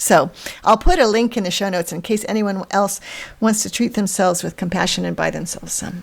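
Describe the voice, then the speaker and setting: A woman talks fairly quickly at a medium pitch with fairly even intonation but big swings in loudness, over noticeable background noise. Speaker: podcast co-host, professional organizer. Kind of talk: casual podcast conversation. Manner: fast.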